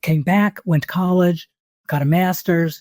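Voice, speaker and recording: A woman speaks with an American accent in a dark, mellow tone. The sound is dry and close, with no echo. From US Northeast, New York City. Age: 70s. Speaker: travel writer. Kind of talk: interview.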